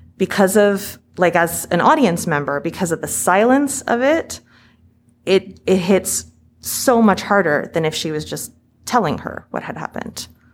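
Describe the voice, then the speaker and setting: A woman talks at a medium pitch with lively intonation. Vocal fry runs through her voice. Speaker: podcast host. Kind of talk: interview. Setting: on site at a film festival.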